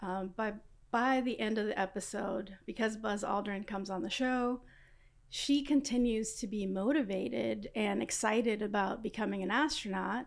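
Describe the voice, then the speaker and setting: A woman with an American accent at a fairly high pitch, moderate pace and vocal fry. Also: ordinary pitch variation. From Los Angeles, South Central. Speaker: aerospace engineer. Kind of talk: interview.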